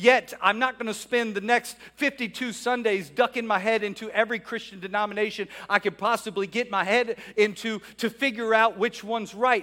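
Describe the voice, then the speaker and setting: A man speaks at a fairly quick pace in a raised, projected voice with a high pitch. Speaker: pastor. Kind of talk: sermon. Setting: church. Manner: animated; fervent.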